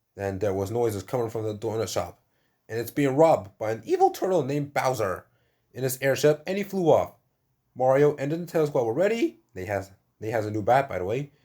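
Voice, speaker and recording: Medium in pitch, this man's voice has a dark, mellow tone. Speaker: YouTuber reading his own fan story. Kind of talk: reading aloud. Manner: halting.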